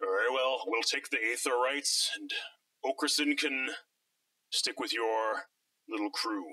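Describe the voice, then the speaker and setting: Speaking in a put-on character voice, a man keeps a moderate pace broken by long, frequent pauses. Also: fairly high pitch for a man. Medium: actual play. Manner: cold, measured.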